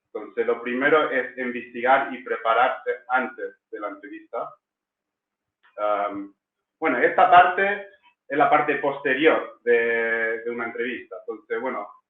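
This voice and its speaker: The man's loudness swings widely as he talks at a fairly slow pace. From England. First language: English (speaking Spanish). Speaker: language school director. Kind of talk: online masterclass. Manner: hesitant, many fillers.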